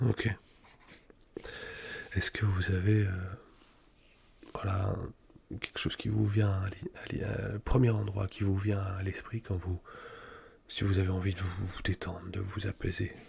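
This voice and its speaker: A soft-spoken man whispers in a calm tone at a fairly slow pace. His speech has long, frequent pauses. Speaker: ASMR creator. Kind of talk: ASMR psychologist roleplay, soft spoken whispered. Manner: soft-spoken, whispered, calm, reassuring.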